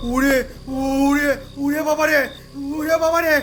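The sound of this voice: Over faint background noise, a man does a put-on character voice at an extremely high pitch with a fairly bright tone, little pitch movement and a slow pace.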